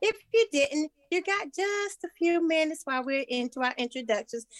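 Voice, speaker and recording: A woman at a moderate pace, her pitch swinging very widely, in a dry, close sound with no echo. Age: 60s. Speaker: podcast co-host. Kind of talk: casual chat.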